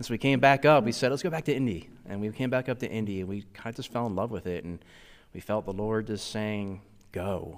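In an American accent, the speaker uses a normal speaking voice with ordinary pitch variation. The pace is fairly quick, on a very clean recording with a silent background. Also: man, fairly low pitch for a man. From US Northeast, Philadelphia. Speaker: church planting resident, Navy veteran. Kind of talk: interview testimony.

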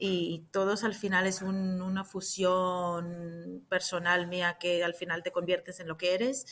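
This woman speaks at a medium pitch and a very slow pace on a very clean recording with a silent background. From Israel. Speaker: actress and clown. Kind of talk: interview.

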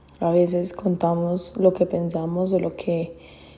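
The voice has a dark, mellow tone and a monotone, flat delivery. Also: woman. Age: 20s. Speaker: podcaster. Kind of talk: casual monologue.

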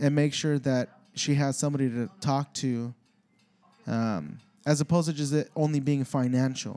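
A man speaks at a moderate pace in a fairly high pitch. His tone is dark and mellow. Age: 30s. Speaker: podcast host and stand-up comedian. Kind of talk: casual solo podcast monologue.

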